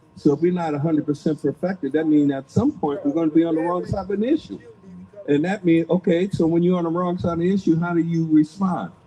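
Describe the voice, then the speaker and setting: A man talks at a very fast pace with a high pitch and fairly even intonation. Noticeable background noise is present. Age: young. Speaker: radio co-host. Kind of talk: casual chat.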